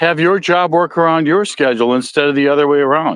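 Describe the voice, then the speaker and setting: In an American accent, a man talks at a moderate pace with ordinary pitch variation. The sound is dry and close, with no echo. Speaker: podcast host. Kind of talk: casual monologue. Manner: halting.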